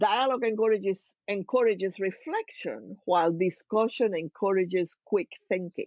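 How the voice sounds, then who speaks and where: A woman with a Cuban accent and ordinary pitch variation. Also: medium pitch for a woman, moderate pace. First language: Spanish. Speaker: organizational consultant. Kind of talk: podcast interview.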